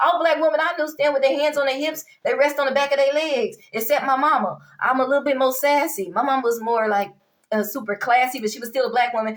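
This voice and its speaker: A woman with a high pitch talks at a very fast pace. Her tone is animated, with ordinary pitch variation. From Dallas, Texas (US South). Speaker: vlogger, social commentator. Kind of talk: opinion monologue vlog.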